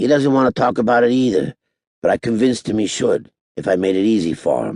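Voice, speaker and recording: Doing a raspy, put-on character voice, a man talks very fast at a medium pitch with ordinary pitch variation. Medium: read story. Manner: laid-back, folksy.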